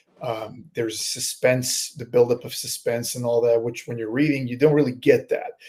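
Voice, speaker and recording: A man speaks at medium pitch and a moderate pace, with hardly any pauses. His tone is dark, mellow and somewhat breathy, his intonation monotone and flat, and his loudness swings widely. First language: not English. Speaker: horror author. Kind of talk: interview. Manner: halting, fumbling for words.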